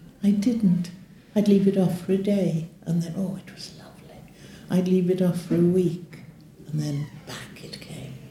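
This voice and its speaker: A woman with a British accent speaks at a moderate pace in a fairly low pitch with fairly even intonation. Her voice is somewhat breathy, with a dark, mellow tone. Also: big swings in loudness. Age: 80s+. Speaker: leg ulcer patient. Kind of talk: testimony.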